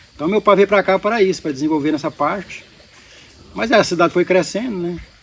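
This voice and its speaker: Against noticeable background noise, a man talks very fast in a high pitch. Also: ordinary pitch variation. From Goiás, Brazil. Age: 60s. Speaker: beekeeper and local entrepreneur. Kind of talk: podcast interview.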